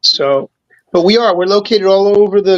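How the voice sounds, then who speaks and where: A man at a fairly quick pace. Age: 60s. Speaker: toy collector and show host. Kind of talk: casual chat.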